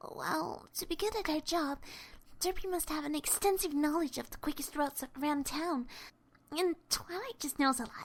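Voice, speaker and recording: A female-sounding voice, high in pitch for a woman, delivers a put-on character voice. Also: moderate pace. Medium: audio drama.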